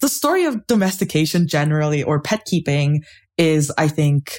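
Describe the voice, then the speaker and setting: On a very clean recording with a silent background, a woman with a Canadian accent speaks in a very deep, low pitch and sounds somewhat breathy. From Canada, Toronto. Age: 20s. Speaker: anthropologist. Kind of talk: casual interview.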